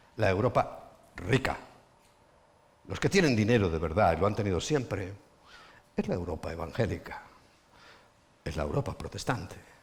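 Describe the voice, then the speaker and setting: A man with a fairly low, somewhat breathy voice and lively intonation speaks at a moderate pace, leaving long, frequent pauses. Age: 60s. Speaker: pastor. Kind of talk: sermon. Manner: animated.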